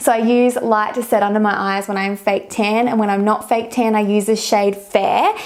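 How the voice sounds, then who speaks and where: A woman with an Australian accent, fairly high pitch, fairly even intonation and a moderate pace. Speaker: beauty vlogger. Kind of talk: product tutorial. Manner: casual, chatty.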